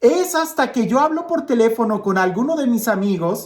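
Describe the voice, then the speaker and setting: This man speaks at a fairly slow pace. His intonation is lively. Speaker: priest. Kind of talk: gospel reflection. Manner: conversational, with filler hesitations.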